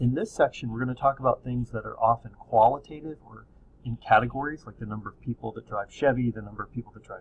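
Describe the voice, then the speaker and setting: Somewhat breathy speech comes at a fairly quick pace with ordinary pitch variation. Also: man. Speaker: statistics teacher. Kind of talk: lecture. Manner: calm; soft-spoken.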